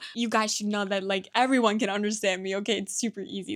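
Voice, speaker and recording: A woman with a non-native accent. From Turkey. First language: Turkish. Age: 20s. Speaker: vlogger. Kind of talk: personal monologue. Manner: halting.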